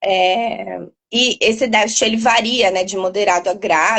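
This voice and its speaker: At a fairly slow pace, a woman talks with a medium pitch. Her intonation stays fairly even. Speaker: doctor specializing in sleep. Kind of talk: interview explanation. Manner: loud. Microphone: poor headset audio at first.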